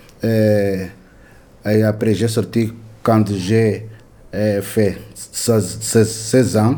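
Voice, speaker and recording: A man talks at a very slow pace with long, frequent pauses, his fairly low voice dark and mellow, flat and monotone. His loudness stays very even, and room echo is audible. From Angola. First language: Portuguese (speaking French). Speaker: inmate learner. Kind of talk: classroom discussion. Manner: halting.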